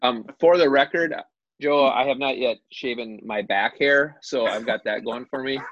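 A man with an ordinary speaking voice and an American accent, fairly high in pitch, with ordinary pitch variation, at a moderate pace. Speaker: high school basketball coach.

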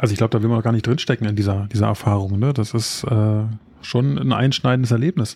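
A man talks at a very fast pace in a medium pitch, his somewhat breathy, dark, mellow tone holding very even loudness with ordinary pitch variation. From Berlin area. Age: 30s. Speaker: podcast co-host, expectant father. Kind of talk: casual chat.

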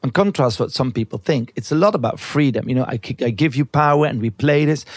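This man has a Flemish accent and a medium pitch with lively intonation. The sound is dry and close, with no echo. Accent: Belgian Dutch-accented English. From Belgium. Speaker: artist and TV host, researcher of fantasies. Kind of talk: casual interview conversation. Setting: recorded in a bed in Amsterdam.

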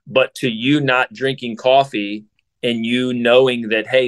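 A man with an American accent speaks at a fairly slow pace in an ordinary speaking voice, medium-pitched with fairly even intonation, recorded dry and close with no echo. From Ohio, south of Columbus. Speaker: podcast host's boyfriend. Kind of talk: casual interview.

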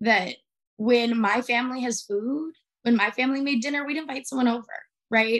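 Here is a woman with an ordinary speaking voice, fairly high in pitch, moving at a fairly quick pace with fairly even intonation. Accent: American. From Arizona, US. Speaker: activist. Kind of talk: interview.

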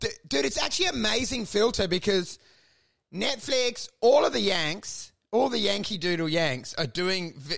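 Speaking in an animated tone with an Australian accent, a man uses a high, bright, sharp voice with lively intonation at a moderate pace. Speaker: comedy podcast host. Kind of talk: casual chat.

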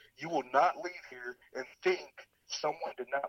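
A man with an American accent and a plain, everyday voice talks at a moderate pace with ordinary pitch variation, recorded dry and close with no echo. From Oklahoma City, US. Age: 20s. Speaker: college football coach. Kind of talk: casual interview.

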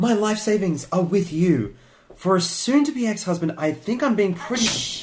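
A man with a high pitch talks at a moderate pace with lively intonation. There is noticeable background noise. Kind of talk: scripted audio fiction.

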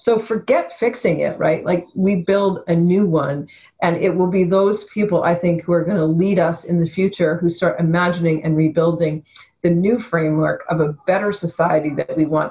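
A woman with a western Canadian accent speaks at a moderate pace in a somewhat breathy voice, her loudness very even and her intonation fairly even. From Canada, Vancouver. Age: 50s. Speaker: activist and photographer. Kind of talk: interview.

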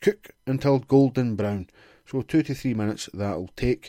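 On a very clean recording with a silent background, a man with a Glaswegian accent speaks at a moderate pace in a dark, mellow tone with ordinary pitch variation. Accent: Glaswegian Scottish. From Scotland, Glasgow. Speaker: podcast host. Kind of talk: reading aloud with casual commentary. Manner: sarcastic, sweary asides.

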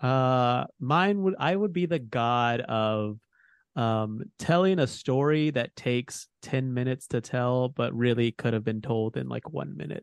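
Against a quiet background, a man with an ordinary speaking voice talks at a fairly slow pace, the sound dry and close with no echo. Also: medium pitch for a man. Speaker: podcast host. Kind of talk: casual informative chat.

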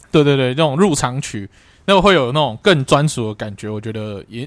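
Intonation is lively and the pace fairly quick. The recording is very clean, with a silent background. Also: man. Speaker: football podcast co-host. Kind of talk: casual chat.

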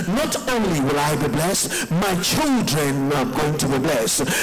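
Very wide pitch swings mark a man's moderate-paced speech, heard through noticeable background noise. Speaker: pastor leading prayer. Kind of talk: fervent congregational prayer with shouted declarations. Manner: impassioned, rising exhortation piling up blessings; call-and-response, urging listeners to repeat amen.

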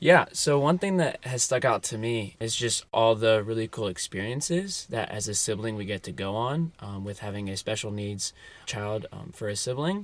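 In a very clean recording with a silent background, a man speaks at medium pitch with lively intonation. His pace is moderate, with hardly any pauses. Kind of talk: interview. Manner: hesitant, many filler sounds.

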